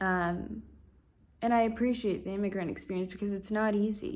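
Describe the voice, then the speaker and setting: A woman in an American accent speaks with audible room echo. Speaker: vlogger. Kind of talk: casual vlog monologue. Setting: talking to camera. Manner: halting, many fillers.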